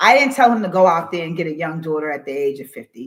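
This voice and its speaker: Delivered at a very fast pace in an animated tone, the speech is captured in a very clean recording with a silent background. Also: woman. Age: 50s. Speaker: podcast host. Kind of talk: casual live podcast commentary. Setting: livestream.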